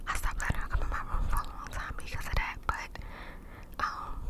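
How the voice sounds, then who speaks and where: Whispering fairly quickly, a woman can be heard over noticeable background noise. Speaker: ASMR creator, puppy owner. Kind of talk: casual talk to camera, ASMR story time. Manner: whispered, cupped-mouth ASMR.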